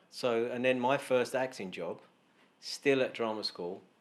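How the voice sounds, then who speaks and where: A man speaks very slowly in a London accent. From East London, England, Glaswegian family. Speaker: actor. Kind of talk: casual chat.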